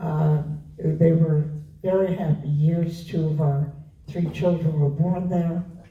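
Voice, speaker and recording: A woman with an American accent and a very deep, low pitch speaks at a very slow pace. Her intonation is fairly even, and room echo is audible. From US Northeast, Rockland County, New York. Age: 90s. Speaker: longtime trustee of a literary society. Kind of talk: interview before an audience.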